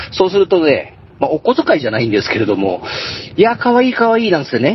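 A man at a fairly quick pace with very wide pitch swings, over noticeable background noise. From Tohoku, Japan. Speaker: ghost story teller and truck driver. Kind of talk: storytelling. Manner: laughs often.

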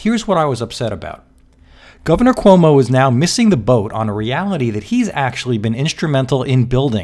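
An animated man with an American accent, at a fairly quick pace, with very wide pitch swings. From New York City. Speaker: podcast host, business consultant. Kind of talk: podcast monologue.

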